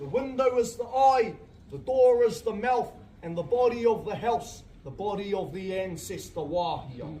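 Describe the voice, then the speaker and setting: A man with a high pitch talks at a moderate pace with lively intonation. Audible room echo surrounds his voice. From New Zealand, Māori community in Te Urewera. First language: Māori. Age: young. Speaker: cultural tour guide. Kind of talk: guided tour talk. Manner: stutters at times.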